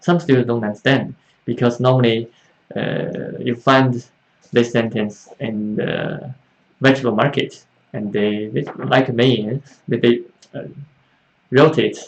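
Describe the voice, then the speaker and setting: Speaking with a Chinese accent, this man uses a medium pitch and fairly even intonation. He goes at a fairly slow pace with long, frequent pauses. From China. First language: Mandarin Chinese. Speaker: Chinese language teacher. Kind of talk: live online Q&A class. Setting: livestream. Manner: halting, many fillers.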